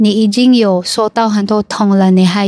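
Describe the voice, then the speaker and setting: A fairly slow, monotone, flat delivery with a dry, close sound and no echo. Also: woman. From Cebu, Philippines. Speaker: English teacher and content creator. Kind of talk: casual chat. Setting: in a car.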